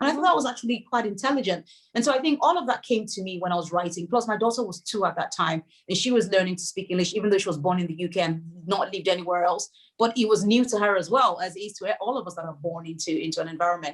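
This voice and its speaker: With a Yoruba accent, a woman talks very fast at a medium pitch, her intonation lively. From Nigeria, Lagos. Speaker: novelist. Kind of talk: interview.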